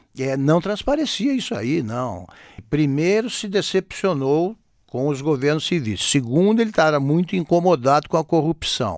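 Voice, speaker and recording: A man's fairly high voice with very wide pitch swings, in a very clean recording with a silent background. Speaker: newspaper columnist. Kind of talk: interview.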